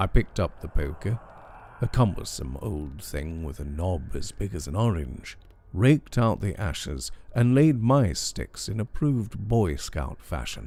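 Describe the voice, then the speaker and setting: A man speaks calmly at a fairly slow pace, his very deep, low voice dark and mellow with vocal fry. His pitch swings very widely. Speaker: storyteller. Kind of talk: horror story reading. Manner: calm, relaxing.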